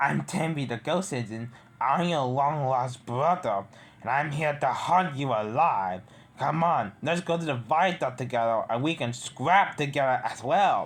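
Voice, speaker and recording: The voice is a put-on character. It moves at a moderate pace. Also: man, fairly high pitch for a man. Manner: evil, menacing, taunting.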